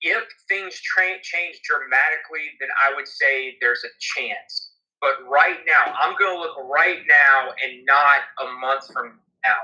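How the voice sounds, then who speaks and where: Speaking fairly slowly, a man at a fairly high pitch has an unremarkable speaking voice with ordinary pitch variation. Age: 30s. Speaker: podcast co-host. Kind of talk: casual chat.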